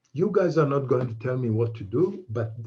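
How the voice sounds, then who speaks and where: Somewhat breathy, a man speaks at a medium pitch with a dark, mellow tone and lively intonation. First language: not English. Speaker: aviation expert answering questions. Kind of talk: online Q&A event. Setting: online event. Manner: halting.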